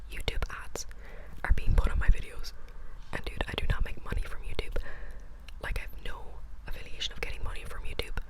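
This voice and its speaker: A woman speaks with an extremely high pitch and monotone, flat intonation at a fairly quick pace. Noticeable background noise runs behind her. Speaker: ASMR creator. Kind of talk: whispered ASMR ramble about books. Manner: whispered, chatty.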